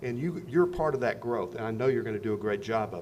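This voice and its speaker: Here a man talks with lively intonation. His voice is somewhat breathy. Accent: American. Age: 70s. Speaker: Rotary district governor. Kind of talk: club speech. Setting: club meeting.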